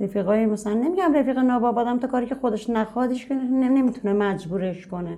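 A woman talks at a moderate pace in a dark, mellow tone, her pitch varying in an ordinary way. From Tehran, Iran. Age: 30s. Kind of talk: personal testimony interview.

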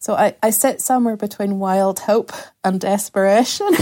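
A woman in a Northern Irish accent, medium in pitch with a dark, mellow tone, monotone and flat at a moderate pace, on a very clean recording with a silent background. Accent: Northern Irish (Ulster). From Northern Ireland, rural County Antrim. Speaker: novelist and community arts facilitator. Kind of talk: podcast interview.

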